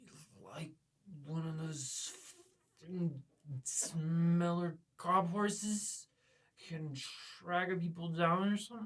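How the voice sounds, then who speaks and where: Using a put-on, rumbling character voice at a middle pitch, the speaker moves at a very slow pace with long, frequent pauses. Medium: read story. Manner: grumbling, irritable.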